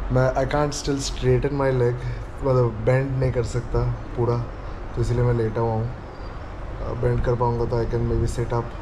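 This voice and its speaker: A man's weary-toned voice at a moderate pace, broken by long, frequent pauses, over noticeable background noise. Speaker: vlogger. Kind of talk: casual vlog chat. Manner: weary, low post-surgery voice. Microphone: phone near.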